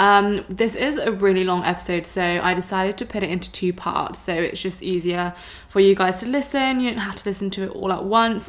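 Over noticeable background noise, a woman with an English accent and a medium pitch talks at a fairly quick pace with hardly any pauses and ordinary pitch variation. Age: 20s. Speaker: podcast host, wellness coach. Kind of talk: casual chat.

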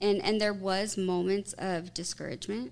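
This woman has a normal speaking voice, talking at a moderate pace with a medium pitch and fairly even intonation. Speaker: marketplace owner. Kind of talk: casual chat.

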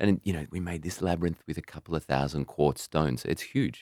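A man's voice with an Australian accent and vocal fry, in a dry, close sound with no echo. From Australia, rural western New South Wales. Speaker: albergue host and podcaster. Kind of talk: casual interview chat. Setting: in person, Sydney.

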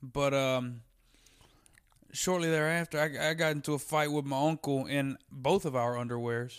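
A man with an American accent speaks at a moderate pace and a fairly high pitch. His loudness is very even and his intonation fairly even. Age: 20s. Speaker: stand-up comedian. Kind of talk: casual chat. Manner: distinctive cadence.

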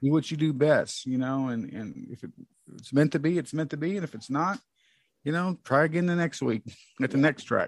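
A man with an American accent, fairly high in pitch, fairly quick in pace, lively in intonation, with big swings in loudness, a dry, close sound with no echo, and a quiet background. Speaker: motorsports podcast co-host. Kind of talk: casual chat. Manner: hesitant, many fillers.

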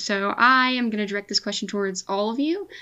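Her voice is an unremarkable speaking voice, fairly high in pitch for a woman, moving at a moderate pace. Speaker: editor and guest host. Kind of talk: casual chat.

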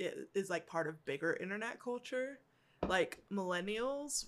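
The woman has a normal speaking voice, pitched fairly high. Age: 30s. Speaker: university educator. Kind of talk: casual chat. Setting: at a table in a home.

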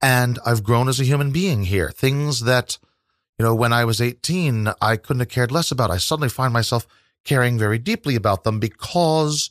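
An unremarkable speaking voice with an American accent moves at a moderate pace with lively intonation, the sound dry and close with no echo. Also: man. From US Midwest, southwest Missouri. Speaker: tour guide and poet. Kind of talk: interview.

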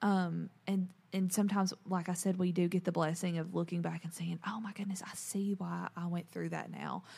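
Speaking at a moderate pace with hardly any pauses, a woman holds a monotone, flat intonation at a fairly low pitch. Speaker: podcast host. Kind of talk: casual chat.

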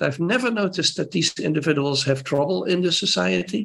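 A man with a Dutch accent at a fairly quick pace. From Netherlands. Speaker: primatologist. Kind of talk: interview.

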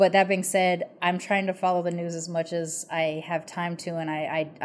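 A woman with an American accent, a fairly low pitch and monotone, flat intonation at a moderate pace. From United States. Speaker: podcast host. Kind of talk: casual interview chat. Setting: video call.

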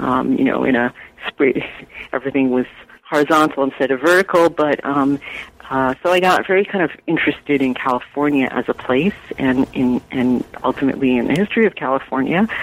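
Fairly quick speech in an American accent, very even in loudness, with ordinary pitch variation and noticeable background noise. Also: woman, very deep, low pitch for a woman. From New York. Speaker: author and journalist. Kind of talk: interview.

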